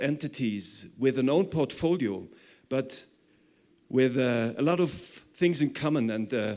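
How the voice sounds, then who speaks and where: The speaker is a man with a fairly high pitch. Pitch varies in an ordinary way. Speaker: conference speaker. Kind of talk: conference presentation. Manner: fast.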